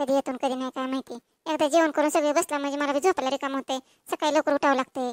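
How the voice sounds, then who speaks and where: A woman does a cartoonish character voice, high-pitched and monotone with flat intonation, at a fairly quick pace in a dry, close sound with no echo. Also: very clean recording, silent background. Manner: brisk, hurried.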